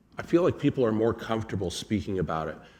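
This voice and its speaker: Lively intonation runs through a normal speaking voice. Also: man. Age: 60s. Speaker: addiction counselor. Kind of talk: presentation.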